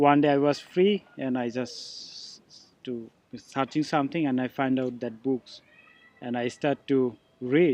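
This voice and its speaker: Talking at a fairly slow pace, a man with a Bangladeshi accent keeps a medium pitch and fairly even intonation. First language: Bengali. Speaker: missionary candidate. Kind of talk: testimony. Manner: halting.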